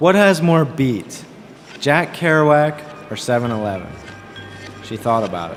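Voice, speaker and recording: A man with a fairly high pitch speaks at a fairly slow pace, with very wide pitch swings and long, frequent pauses. Noticeable background noise is present. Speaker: author reading own novel. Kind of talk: spoken word reading with music.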